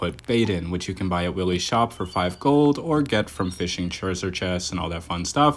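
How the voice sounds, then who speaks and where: Talking at a very fast pace, a man with a very deep, low pitch uses lively intonation. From Nova Scotia, Canada. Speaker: gaming YouTuber. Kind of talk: gameplay commentary. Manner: casual, chatty.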